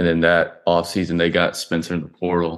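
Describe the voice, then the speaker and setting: A man with a very deep, low voice and a Southern US accent, at a fairly quick pace over a quiet background. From coastal South Carolina. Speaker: college football quarterback. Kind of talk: casual interview.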